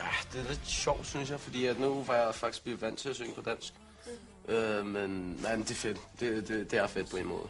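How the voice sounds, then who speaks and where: With music in the background, a man talks at a moderate pace, his pitch varying in an ordinary way. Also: medium pitch for a man. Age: 20s. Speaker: singer in a rock band. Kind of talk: interview. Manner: halting, repeats words.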